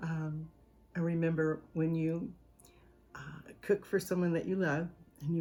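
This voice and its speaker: Here a woman speaks with a Southern US accent. Her pitch is very deep and low, and her tone is dark and mellow. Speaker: home cooking channel host. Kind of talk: casual storytelling to camera; video sign-off. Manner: animated.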